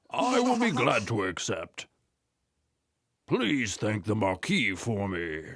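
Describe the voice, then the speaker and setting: In a cartoonish character voice at a medium pitch, a man speaks at a fairly slow pace with long, frequent pauses. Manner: warm, gracious.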